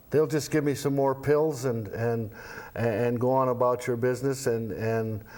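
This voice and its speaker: At a moderate pace, a man talks at a medium pitch. Room echo is audible. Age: 70s. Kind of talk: casual interview. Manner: halting, repeats words.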